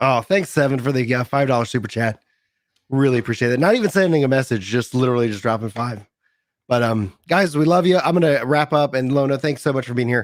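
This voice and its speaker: Recorded very cleanly with a silent background, a man with an American accent talks at a very fast pace at medium pitch with ordinary pitch variation. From East Texas. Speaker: podcast host. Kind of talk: casual chat. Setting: live stream.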